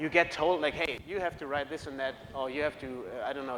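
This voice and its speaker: A man with a fairly high pitch talks at a very fast pace. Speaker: conference keynote speaker. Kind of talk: conference talk. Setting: stage with audience. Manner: halting, many fillers.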